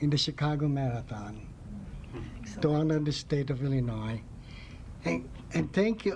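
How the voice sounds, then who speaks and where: A man with a somewhat breathy voice talks at a moderate pace. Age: 70s. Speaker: honoree, marathon runner and coach. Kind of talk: acceptance speech. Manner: halting.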